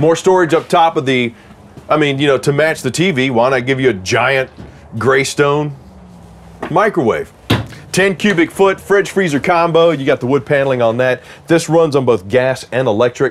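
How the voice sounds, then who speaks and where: The speech moves at a moderate pace with ordinary pitch variation and very even loudness. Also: man. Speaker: RV salesman or tour host. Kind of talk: casual product walkthrough.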